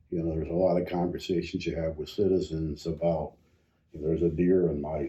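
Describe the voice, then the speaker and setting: Somewhat breathy and very deep, low in pitch, a man speaks at a fairly quick pace with monotone, flat intonation. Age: 70s. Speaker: county commissioner. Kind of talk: casual interview.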